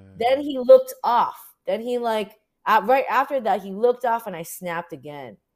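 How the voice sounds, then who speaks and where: With fairly high pitch, lively intonation and big swings in loudness, a woman talks at a moderate pace in an unremarkable speaking voice on a very clean recording with a silent background. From US, Orange County, California. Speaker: activist photographer. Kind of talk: interview. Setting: livestream.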